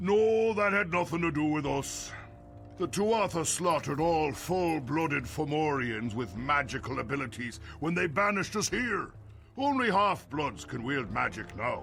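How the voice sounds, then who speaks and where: A man puts on a character voice, pitched fairly high. Clear music plays behind him. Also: moderate pace. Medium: video game. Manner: imperious, grandiose.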